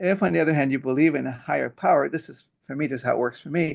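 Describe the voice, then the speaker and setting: Talking at a very fast pace, a man with a fairly high pitch shows vocal fry and ordinary pitch variation. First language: Hebrew. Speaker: pediatrician and author. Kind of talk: interview. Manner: halting.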